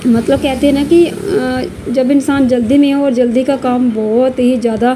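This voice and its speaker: A woman with a high pitch and fairly even intonation speaks over noticeable background noise. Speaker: village lifestyle vlogger, housewife. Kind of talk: casual vlog talk to camera. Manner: hesitant, with many fillers.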